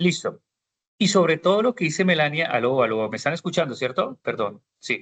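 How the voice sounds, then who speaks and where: Keeping a moderate pace, a man talks at a fairly high pitch with very wide pitch swings. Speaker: university lecturer. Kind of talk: online class lecture.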